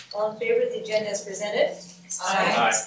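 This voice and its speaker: The speaker talks at a fairly quick pace, with light background noise and audible room echo. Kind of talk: formal meeting chairing. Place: meeting room.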